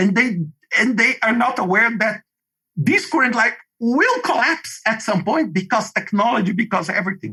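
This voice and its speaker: In a Brazilian Portuguese accent, a man projects his voice loudly. His tone is bright and sharp. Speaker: project management expert. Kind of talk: podcast interview. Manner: animated.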